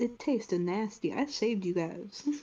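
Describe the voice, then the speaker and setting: A female-sounding voice does a put-on character voice at a fairly high pitch and a moderate pace. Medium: actual play. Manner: flippant, deadpan.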